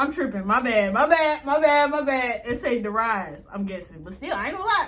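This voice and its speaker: A woman with a high pitch talks at a fairly quick pace in an animated tone with very wide pitch swings, over noticeable background noise. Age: 20s. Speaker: YouTube reaction creator. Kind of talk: casual reaction commentary.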